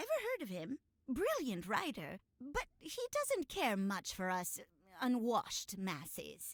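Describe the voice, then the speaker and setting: A woman's put-on character voice, high in pitch, at a fairly slow pace. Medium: video game. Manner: friendly, chuckling.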